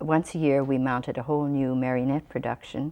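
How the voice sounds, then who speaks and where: With a dark, mellow tone, a woman talks in a very deep, low pitch. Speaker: puppeteer. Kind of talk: interview answer.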